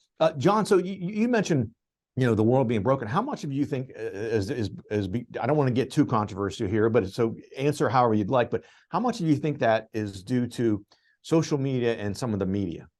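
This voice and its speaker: With an American accent and an unremarkable speaking voice, a man talks at medium pitch and a fairly quick pace, his intonation lively. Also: quiet background. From blue-collar steel town, US. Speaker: business radio host. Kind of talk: podcast interview.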